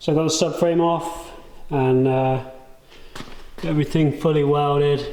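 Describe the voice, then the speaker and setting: In a room with audible echo, a man speaks at a fairly high pitch and fairly slow pace, flat and monotone, with very even loudness and long, frequent pauses. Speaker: DIY car builder and YouTuber; YouTuber. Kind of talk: casual talk to camera while working.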